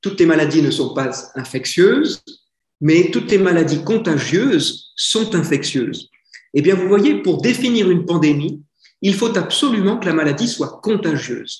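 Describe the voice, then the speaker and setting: A man's high voice with lively intonation at a fairly slow pace. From France. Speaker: Dominican friar lecturing on care ethics. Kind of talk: lecture. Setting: conference with audience. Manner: conversational.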